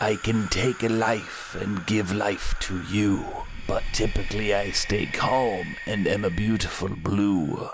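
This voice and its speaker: A man's put-on character voice, fairly low in pitch, at a fairly slow pace over clear background noise. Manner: eerie, spooky.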